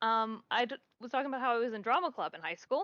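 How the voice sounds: At a fast pace, a woman talks in a fairly high pitch, the sound dry and close with no echo. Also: lively intonation.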